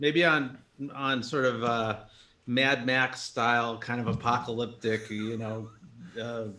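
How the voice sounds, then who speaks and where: With an American accent, a man speaks at a very slow pace in a medium pitch, his intonation fairly even. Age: 60s. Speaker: jazz musician. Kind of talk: casual chat.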